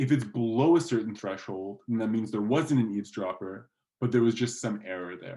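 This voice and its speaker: A man talks at a fairly quick pace with a non-native accent. His tone is dark and mellow. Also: medium pitch for a man, ordinary pitch variation. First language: not English. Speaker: guest lecturer. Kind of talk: lecture. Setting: online lecture. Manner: casual, with fillers. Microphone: slightly distorted audio.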